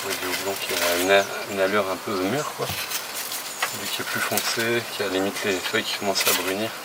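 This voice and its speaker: A man's fairly low voice amid noticeable background noise. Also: moderate pace. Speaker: craft brewer. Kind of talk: interview answer.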